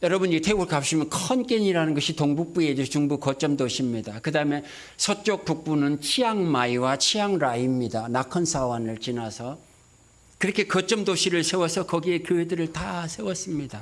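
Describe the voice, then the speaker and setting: At a fairly quick pace, a man with an unremarkable speaking voice talks with lively intonation and fairly high pitch. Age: 60s. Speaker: missionary. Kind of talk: sermon.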